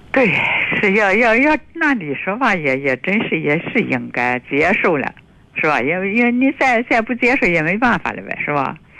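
With very wide pitch swings, a woman at medium pitch speaks at a moderate pace over noticeable background noise. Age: 70s. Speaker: caller. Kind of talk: phone-in conversation. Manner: halting.

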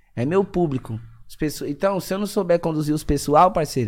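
A man speaks with lively intonation. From Zona Leste, São Paulo. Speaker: rapper and former train street vendor. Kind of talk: casual interview chat.

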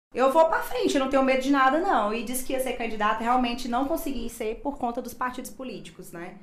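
A woman talks at a fairly quick pace in a high voice. Noticeable background noise and audible room echo come through. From Imperatriz, Maranhão, Brazil. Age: 30s. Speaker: dentist and former health secretary. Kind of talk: casual chat. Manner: talkative.

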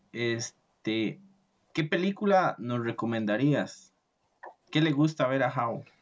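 Long pauses come often, and the speech moves along very slowly. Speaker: podcast host. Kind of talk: podcast interview.

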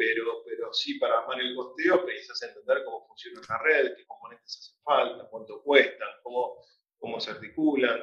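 At a fairly quick pace, a man speaks. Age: 40s. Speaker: telecom executive. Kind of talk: interview. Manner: halting, many repetitions and fillers.

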